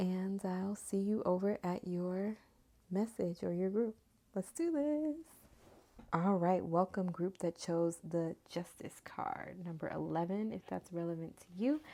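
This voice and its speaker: A soft-spoken woman has a dark, mellow tone. She talks at a fairly slow pace with ordinary pitch variation. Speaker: tarot and oracle card reader. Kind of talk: casual spiritual reading. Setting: home recording at night. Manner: soft-spoken, talking low.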